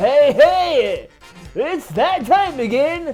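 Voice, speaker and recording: A man puts on a character voice, pitched extremely high with very wide swings, while faint music plays in the background. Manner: exaggerated, hyped-up.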